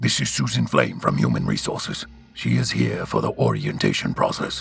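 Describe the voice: A man puts on a character voice with an extremely low pitch, a fairly bright tone and vocal fry, talking at a moderate pace with ordinary pitch variation.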